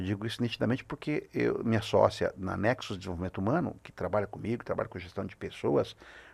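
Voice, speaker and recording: Speaking very fast, a man leaves hardly any pauses. His volume rises and falls in big swings. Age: 60s. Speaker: business consultant. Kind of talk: podcast interview. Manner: halting, with many fillers.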